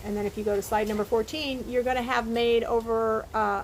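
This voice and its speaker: A woman talks at a moderate pace with fairly even intonation in a plain, everyday voice. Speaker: professor. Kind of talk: lecture. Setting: recorded video talk with slides.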